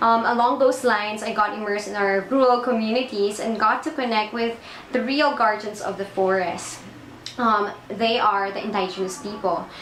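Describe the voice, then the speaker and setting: Amid noticeable background noise and audible room echo, a woman speaks at a moderate pace with a fairly high pitch and fairly even intonation. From Philippines, Palawan. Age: 20s. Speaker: environmental project manager. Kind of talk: personal testimony. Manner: hesitant, frequent 'um' fillers.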